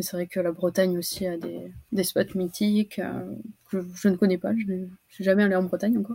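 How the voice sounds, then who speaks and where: At a fairly quick pace, a woman speaks in a medium pitch with monotone, flat intonation and a dark, mellow, somewhat breathy tone. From French Basque Country, Anglet. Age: 20s. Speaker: student and competitive longboard surfer. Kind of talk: casual interview.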